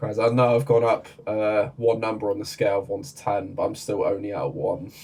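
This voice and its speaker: Somewhat breathy and at a fairly quick pace, a man talks at a medium pitch with ordinary pitch variation. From Ireland. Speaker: anime reaction youtuber. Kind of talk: casual chat.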